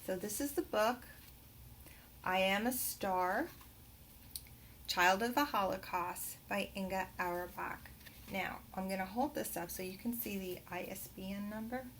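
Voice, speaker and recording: A woman with a New Jersey accent talks at a fairly slow pace with long, frequent pauses, her medium pitch showing ordinary variation. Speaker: teacher trainer. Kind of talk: tutorial. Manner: hesitant, many fillers.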